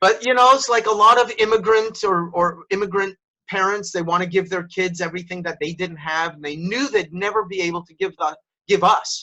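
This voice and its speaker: Raising and projecting his voice, a man with a high pitch and a bright, sharp tone speaks at a fairly quick pace, with big swings in loudness and ordinary pitch variation. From Montreal, Quebec, Canada. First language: French. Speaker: professional speaker and storytelling trainer. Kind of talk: interview storytelling.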